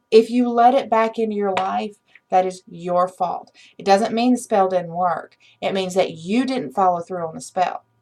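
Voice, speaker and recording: Speaking at a moderate pace with a medium pitch and ordinary pitch variation, a woman has an ordinary speaking voice. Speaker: witchcraft channel host. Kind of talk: unscripted instructional talk to viewers.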